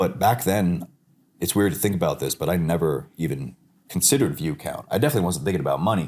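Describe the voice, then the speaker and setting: Speaking at a very fast pace, a man with a very deep, low pitch uses lively intonation and vocal fry. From New York, Long Island. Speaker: digital artist. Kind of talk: casual chat. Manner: animated.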